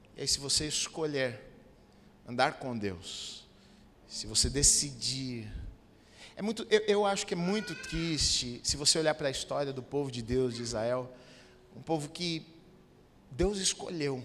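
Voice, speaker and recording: Noticeable background noise sits behind a man with a fairly high pitch and lively intonation. He speaks at a fairly slow pace with long, frequent pauses. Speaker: pastor. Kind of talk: sermon. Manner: animated.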